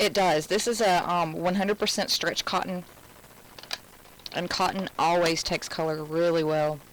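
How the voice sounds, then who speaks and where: A woman with an American accent speaks at a moderate pace in a fairly low pitch, with fairly even intonation, very even loudness and long, frequent pauses. Noticeable background noise runs underneath. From Alabama. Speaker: craft instructor. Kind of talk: live craft tutorial. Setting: live stream. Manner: casual, chatty.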